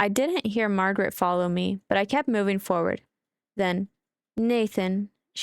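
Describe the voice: Quiet surroundings behind plain reading aloud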